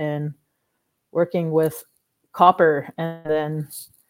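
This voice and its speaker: Music plays in the background. Over it, a woman speaks at a fairly low pitch. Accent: Canadian. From Manitoulin Island, Ontario, Canada. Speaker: film producer and artist. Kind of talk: interview.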